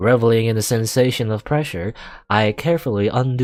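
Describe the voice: Plain reading aloud unfolds with fairly even intonation.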